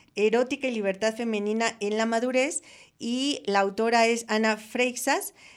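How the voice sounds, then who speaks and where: A woman talks in a plain, everyday voice, fairly high in pitch, at a fairly slow pace with fairly even intonation. The recording is very clean, with a silent background. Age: 60s. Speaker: radio host. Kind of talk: radio talk show. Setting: radio studio.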